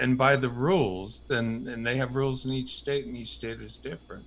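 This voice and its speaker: Somewhat breathy and medium in pitch, a man's voice moves at a moderate pace with ordinary pitch variation and big swings in loudness. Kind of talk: casual chat.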